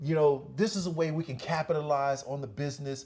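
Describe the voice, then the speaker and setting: This man talks at a moderate pace. The recording is very clean, with a silent background. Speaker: business owner and channel host. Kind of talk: personal storytelling monologue. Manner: halting, many fillers and repetitions; casual.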